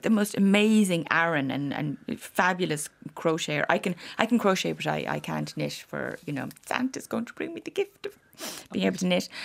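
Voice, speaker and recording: Moderate in pace, a woman speaks in a Dublin accent. Her loudness shows big swings. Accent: Dublin Irish. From Ireland, Dublin. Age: 50s. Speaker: author. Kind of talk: casual chat. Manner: animated.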